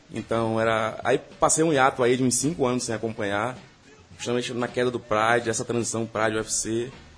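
This is a man speaking. His pace is very fast. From Bahia, Brazil. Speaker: listener and site commenter. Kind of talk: casual chat. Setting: studio. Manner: halting.

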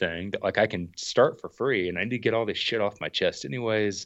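Moving at a fairly quick pace, a man speaks in a normal speaking voice with a fairly low pitch. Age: 30s. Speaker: outdoor YouTuber and thru-hiker. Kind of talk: casual chat.

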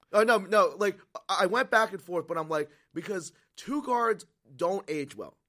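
A man with a high pitch speaks at a moderate pace in a raised, projected voice, his tone bright and sharp, with long, frequent pauses. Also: ordinary pitch variation. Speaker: radio sports show co-host. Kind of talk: casual radio sports talk banter. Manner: conversational, laid-back, chatty.

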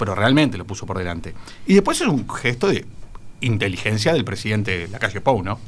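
A normal speaking voice from a man, fairly quick in pace and fairly low in pitch, with ordinary pitch variation. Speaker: political panelist, lawyer. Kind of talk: radio panel discussion. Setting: radio studio.

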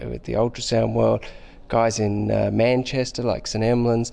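This speaker is a man with an Australian accent. He keeps to a middling tempo. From Australia, Sydney. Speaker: intensive care doctor. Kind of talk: interview.

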